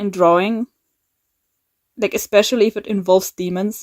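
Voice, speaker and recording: In a dry, close sound with no echo, a woman of medium pitch speaks with a German accent. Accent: German accent, she calls it bad. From Germany. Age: 20s. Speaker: YouTuber, animator. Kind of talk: casual vlog talk. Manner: halting, many fillers and repeats.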